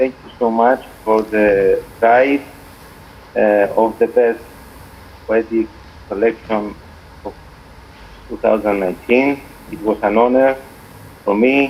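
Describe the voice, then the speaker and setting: A man with a Greek accent and medium pitch talks at a fairly slow pace, with long, frequent pauses. His intonation is fairly even, and background noise is noticeable. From Cyprus. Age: 40s. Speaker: poet. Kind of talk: interview. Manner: halting.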